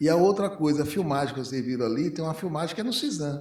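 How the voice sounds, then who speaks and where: Fairly high in pitch, a man talks at a fairly quick pace with ordinary pitch variation. Audible room echo surrounds him. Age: 60s. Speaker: physician. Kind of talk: panel discussion. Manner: halting.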